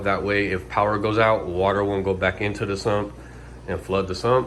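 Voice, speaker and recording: Fairly low-pitched male voice at a moderate pace, with audible room echo. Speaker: fishkeeping hobbyist. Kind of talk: casual tutorial walkthrough.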